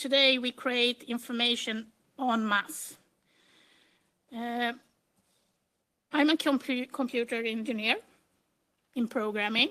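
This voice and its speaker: In a very clean recording with a silent background, a woman with a Swedish accent speaks at a fairly slow pace in a high pitch, her tone bright and sharp and her intonation fairly even. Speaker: metadata strategist and computer engineer. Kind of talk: conference presentation. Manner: hesitant, with frequent fillers.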